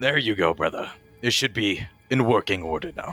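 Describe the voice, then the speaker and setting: A man puts on a raspy character voice at medium pitch, with lively intonation. He talks at a moderate pace over music in the background. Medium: actual play. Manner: calm, terse, reassuring.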